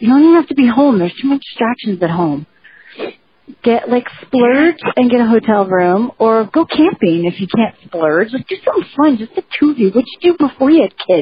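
High-pitched and fairly quick, a woman talks with a New Jersey accent. Her pitch swings very widely. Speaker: podcast co-host. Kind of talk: casual chat.

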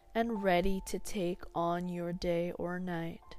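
Over background music, a woman with a medium pitch speaks very slowly in a soothing, calm tone and a flat monotone. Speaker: clinical hypnotherapist. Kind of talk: guided meditation. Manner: slow, soothing, calm and gentle with long pauses; softly coaxing, repeating counted breath cues.

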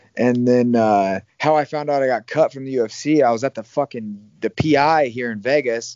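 A man with an American accent uses a normal speaking voice with ordinary pitch variation. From Iowa, US Midwest. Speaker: professional MMA fighter. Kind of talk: interview.

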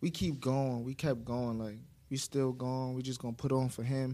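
A man with an American accent, medium pitch and a dark, mellow tone. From Brooklyn, New York. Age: young. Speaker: rapper. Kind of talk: interview. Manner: laid-back.

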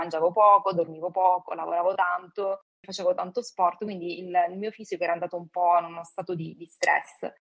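This woman talks at a very fast pace in a fairly low pitch, her intonation monotone and flat. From Calabria, southern Italy. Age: 40s. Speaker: guest sharing personal story. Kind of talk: interview testimony.

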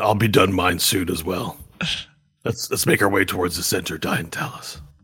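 A man puts on a raspy character voice with a very deep, low pitch. He keeps a moderate pace and fairly even intonation. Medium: actual play.

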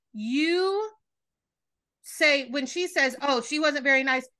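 A woman with a high pitch speaks in a raised, projected voice with a bright, sharp tone, lively intonation and an animated tone. She talks at a fairly slow pace against a quiet background. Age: 30s. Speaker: podcast host. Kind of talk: casual chat. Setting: remote call.

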